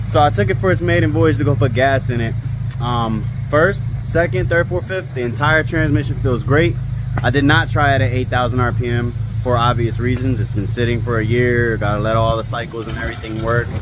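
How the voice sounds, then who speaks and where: A man at a medium pitch and a fairly quick pace, with audible room echo and noticeable background noise. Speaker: car enthusiast vlogger. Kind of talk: casual vlog narration. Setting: garage and outdoors beside running car. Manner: casual, energetic.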